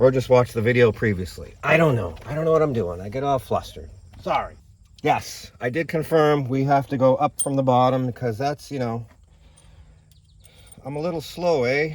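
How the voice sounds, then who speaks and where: A man's medium-pitched, somewhat breathy voice at a moderate pace, animated in tone with ordinary pitch variation and long, frequent pauses, on a very clean recording with a silent background. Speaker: car repair video host. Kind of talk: tutorial.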